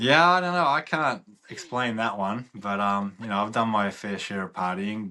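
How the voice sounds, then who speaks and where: A man with an Australian accent speaks at a moderate pace in a fairly low pitch. His tone is bright and sharp, with lively intonation. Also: quiet background. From Australia, Melbourne. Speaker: former sports agent. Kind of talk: casual chat.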